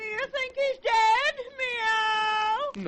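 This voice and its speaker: The pitch sits extremely high. It is delivered as a put-on character voice. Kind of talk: 1940s children's radio serial acting. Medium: old radio play. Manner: tacks a meow onto every line.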